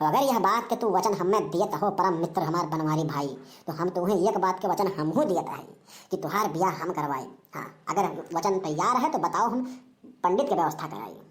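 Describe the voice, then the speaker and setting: Using a cartoonish character voice, a woman speaks at a fairly quick pace with a medium pitch. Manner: folksy, preachy, long-winded.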